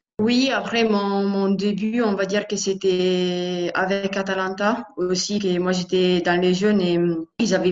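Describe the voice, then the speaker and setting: With an Italian accent, a woman speaks at a fairly slow pace and a medium pitch, her intonation monotone and flat. Noticeable background noise is present. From Italy, Lombardy (Bergamo area). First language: Italian (speaking French). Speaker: professional footballer. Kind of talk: interview. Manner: halting, with repeated words.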